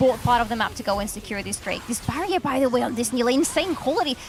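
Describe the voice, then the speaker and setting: A woman's high voice with music in the background. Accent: non-native. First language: not English. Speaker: esports caster. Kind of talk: live commentary.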